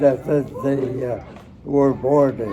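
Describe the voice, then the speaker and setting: Over noticeable background noise, a man with an American accent talks at a fairly high pitch. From United States. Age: 80s+. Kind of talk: interview answer. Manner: hesitant, halting.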